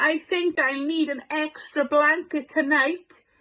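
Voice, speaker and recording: In a put-on character voice, the speaker goes fairly slowly with fairly even intonation. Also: woman, high pitch for a woman. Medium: read story. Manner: warm, kindly.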